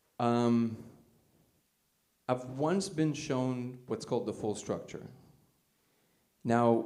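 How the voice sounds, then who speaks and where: The voice has a dark, mellow tone and ordinary pitch variation. It moves at a moderate pace with audible room echo. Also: man. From Soviet Union (Russia). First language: Russian. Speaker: conference speaker. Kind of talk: talk with audience questions. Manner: casual, filler-heavy.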